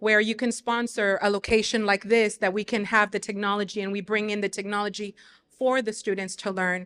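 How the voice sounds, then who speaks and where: Speaking with a Spanish accent, a woman talks at a fairly quick pace in a medium pitch with monotone, flat intonation over a quiet background. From Mexico, moved to US in third grade. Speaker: teacher and community leader. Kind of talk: panel discussion.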